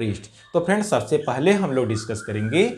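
With very wide pitch swings, a man talks in a somewhat breathy voice at a fairly slow pace. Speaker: teacher. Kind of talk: lecture. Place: classroom.

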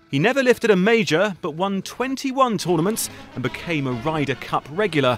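A man speaks at a moderate pace in a high voice with very wide pitch swings, with music playing in the background. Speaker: news report narrator. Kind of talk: broadcast news obituary narration.

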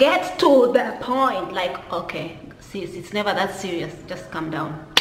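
There is light background noise and audible room echo as a woman speaks. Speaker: commentary vlogger. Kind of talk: casual vlog chat. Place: home room. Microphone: phone near.

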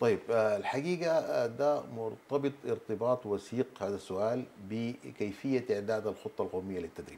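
Speaking with a Sudanese accent, a man of medium pitch uses a dark, mellow tone at a fairly slow pace with ordinary pitch variation. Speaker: government minister; guest. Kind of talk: TV interview; interview answer. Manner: halting. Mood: calm, explanatory. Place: studio. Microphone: lapel.

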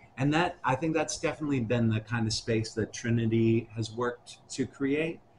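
A man's medium-pitched, somewhat breathy voice with an American accent, a moderate pace and ordinary pitch variation, over light background noise. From US Midwest, Milwaukee; Wisconsin. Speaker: rapper and musician; interviewee. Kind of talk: oral history interview. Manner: casual, halting with many fillers.

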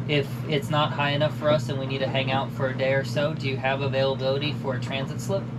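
Loud background noise runs behind a man who talks with hardly any pauses. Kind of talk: phone call inquiry. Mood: polite, slightly hesitant. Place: boat. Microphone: camera far.

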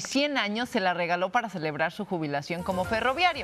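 A woman with lively intonation speaks at a fairly quick pace, with noticeable background noise behind her. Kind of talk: television news co-anchor banter. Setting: studio.

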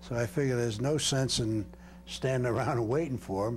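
A somewhat breathy voice with an American accent, very fast, with ordinary pitch variation and light background noise. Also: man. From Brooklyn, New York; New York. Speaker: war veteran. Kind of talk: interview testimony. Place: home room. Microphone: lapel.

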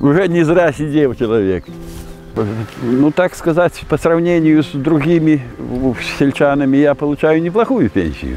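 Pausing long and often, a man with a fairly high voice speaks at a fairly slow pace with ordinary pitch variation, in a dry sound with no echo and faint music in the background. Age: 70s. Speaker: retired teacher and fishing pond owner; retired teacher. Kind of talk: interview.

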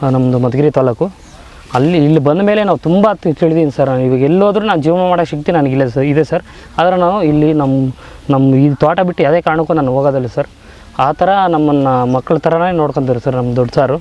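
Noticeable background noise sits behind a man who speaks at a fairly high pitch with ordinary pitch variation and very even loudness. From Karnataka, Tumakuru district (Madhugiri taluk). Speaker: farm worker. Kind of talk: farm tour explanation.

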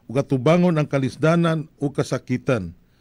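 Over a quiet background, a man speaks with a fairly high pitch and ordinary pitch variation. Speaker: priest. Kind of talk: homily. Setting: live streaming. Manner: formal, measured preaching; earnest, reflective. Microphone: studio mic.

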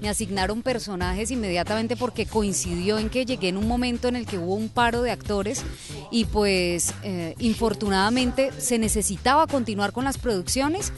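A woman at a moderate pace, dry sound with no echo, and clear music in the background. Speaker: voice actress. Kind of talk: interview answer. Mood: warm, enthusiastic. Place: street. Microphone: handheld.

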